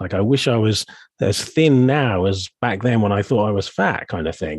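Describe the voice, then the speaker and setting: This man speaks at a moderate pace in an unremarkable speaking voice, pitched fairly low. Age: 50s. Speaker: coach and podcast host. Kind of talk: casual chat.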